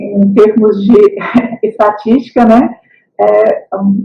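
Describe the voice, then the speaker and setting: This woman's voice sits at a fairly high pitch. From Brazil, Minas Gerais. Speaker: historian and university lecturer. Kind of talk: lecture. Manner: hesitant, many fillers.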